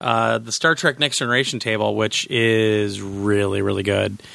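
Recorded very cleanly against a silent background, this voice has a bright, sharp tone and a moderate pace. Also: man. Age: 40s. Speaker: podcast host. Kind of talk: casual chat.

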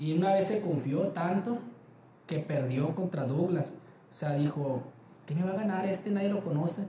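Moderate pace with long, frequent pauses, ordinary pitch variation and very even loudness, over noticeable background noise. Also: man, high pitch for a man. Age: 20s. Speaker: quality department head. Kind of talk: interview. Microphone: poor audio quality.

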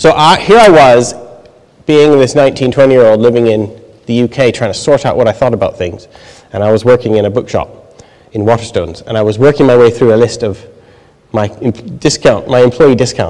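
Noticeable background noise sits behind a man talking at a fairly quick pace, with a medium pitch and ordinary pitch variation. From Canada. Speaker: theology lecturer. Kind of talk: audience Q&A answers; lecture. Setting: lecture hall with live audience.

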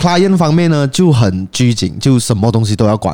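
A man's dark, mellow voice moves at a moderate pace on a very clean recording where the background is silent. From Penang, Malaysia. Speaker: podcast host. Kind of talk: casual chat. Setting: cafe.

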